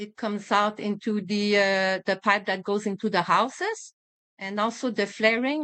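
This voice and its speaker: This speaker has a French accent. The pace is moderate. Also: woman. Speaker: physician and environmental advocate. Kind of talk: interview. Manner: halting, many fillers.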